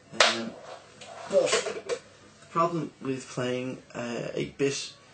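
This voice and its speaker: A man's voice over music in the background. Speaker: retro game reviewer. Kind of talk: casual game review commentary.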